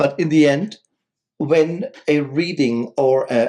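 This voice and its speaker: With a non-native accent, a man talks at a very slow pace in a dark, mellow tone with ordinary pitch variation. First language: not English. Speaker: spiritual podcast co-host. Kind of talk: casual chat.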